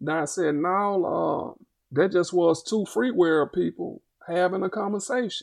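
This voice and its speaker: The background is quiet as a man with an Arkansas accent speaks. His pitch is high, with ordinary variation. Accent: US South, Arkansas. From Little Rock, Arkansas. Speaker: fair sentencing activist. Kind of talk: podcast interview.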